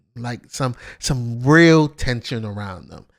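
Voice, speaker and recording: In a very clean recording with a silent background, a man of medium pitch speaks at a very slow pace with lively intonation. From New York. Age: 30s. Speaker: streamer commentator. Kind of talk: casual commentary. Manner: halting.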